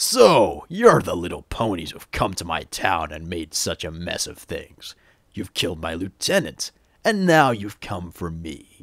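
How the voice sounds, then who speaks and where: A man's put-on character voice, very deep and low in pitch, at a moderate pace on a very clean recording with a silent background. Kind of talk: game character audition lines. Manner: sly, mocking.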